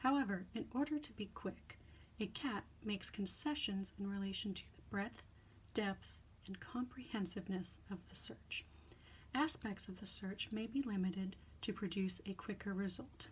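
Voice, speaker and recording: A woman talks in a somewhat breathy voice, her pitch moving in an ordinary way. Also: medium pitch for a woman. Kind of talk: ASMR reading of academic text. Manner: soft, quiet, slow.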